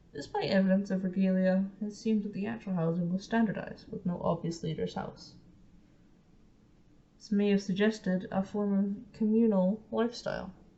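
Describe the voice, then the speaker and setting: A woman with an unremarkable speaking voice talks at a moderate pace in a medium pitch with fairly even intonation. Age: young. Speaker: amateur documentary maker. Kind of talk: documentary narration.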